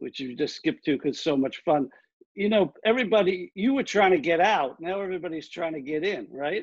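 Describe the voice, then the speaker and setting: In an American accent, a man talks at a fairly quick pace. His pitch is high, and his intonation is lively. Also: quiet background. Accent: Queens accent, stronger when excited. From New York City, Queens. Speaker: film producer, event host. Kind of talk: live virtual Q&A. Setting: live virtual event.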